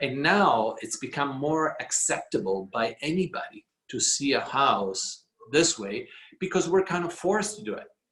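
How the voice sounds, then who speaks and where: Speaking with an Italian accent, a man keeps a moderate pace. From Italy. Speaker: real estate executive. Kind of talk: business talk on a video call. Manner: halting, many fillers.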